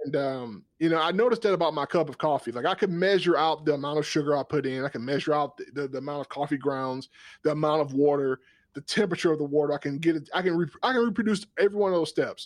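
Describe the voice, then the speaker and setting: A very fast-talking man with an American accent and a fairly high pitch, with ordinary pitch variation, in a dry, close sound with no echo over a quiet background. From US South, South Georgia. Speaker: podcast host and cooking channel creator. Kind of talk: casual interview conversation.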